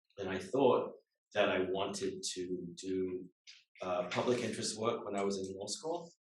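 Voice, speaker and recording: A fairly low male voice at a moderate pace, with ordinary pitch variation, long, frequent pauses and audible room echo. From England. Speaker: lawyer. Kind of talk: guest talk to students.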